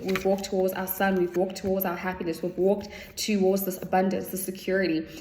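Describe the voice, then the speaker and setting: A woman speaks at a very fast pace in a medium pitch. Audible room echo and noticeable background noise surround her voice. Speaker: tarot reader. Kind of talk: spiritual tarot reading.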